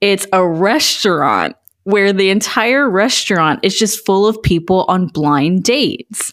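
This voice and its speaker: A woman's medium-pitched, animated voice with lively intonation, very even loudness and a fairly slow pace. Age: 30s. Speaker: podcast co-host. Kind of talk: casual chat.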